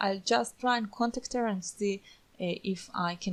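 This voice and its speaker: A woman with a non-native accent, medium in pitch, ordinary pitch variation, a fairly slow pace, and a very clean recording over a silent background. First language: not English. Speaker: online course instructor. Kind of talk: screen-recorded tutorial. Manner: casual, with frequent fillers.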